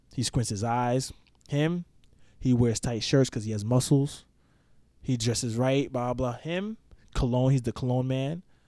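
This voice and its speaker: With a New York accent, a man speaks at medium pitch and a moderate pace, his dark, mellow tone showing ordinary pitch variation and long, frequent pauses. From Poconos, Pennsylvania. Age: 20s. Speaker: army engineer. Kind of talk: casual chat.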